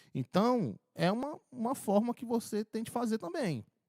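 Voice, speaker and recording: A man's voice in a dry, close sound with no echo. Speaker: audio engineering tutor. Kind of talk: tutorial. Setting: mixing console demo. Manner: casual.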